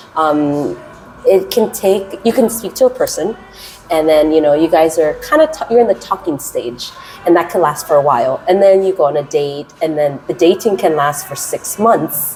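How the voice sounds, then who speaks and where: Music plays in the background as a woman talks at a moderate pace. Her pitch is fairly low and her intonation lively. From US West Coast, Los Angeles. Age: 30s. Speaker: English teacher. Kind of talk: interview. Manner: trying to keep voice down.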